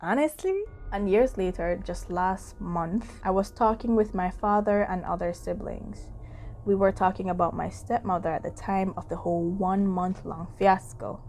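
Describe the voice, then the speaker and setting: Music plays behind a woman speaking at a moderate pace. Her pitch varies in an ordinary way. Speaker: storytelling vlogger. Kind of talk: ghost story reading with casual commentary. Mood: calm, spooky storytelling. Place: home room.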